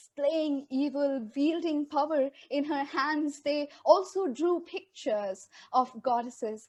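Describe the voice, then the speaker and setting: A high-pitched woman talks very slowly, her pitch varying in an ordinary way. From India. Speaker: poet. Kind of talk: spoken word poetry performance.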